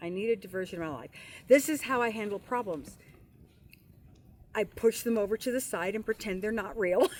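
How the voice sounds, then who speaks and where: A woman speaks at a fairly quick pace with long, frequent pauses, her fairly high pitch showing ordinary variation. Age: 60s. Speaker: retired van dweller. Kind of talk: casual chat.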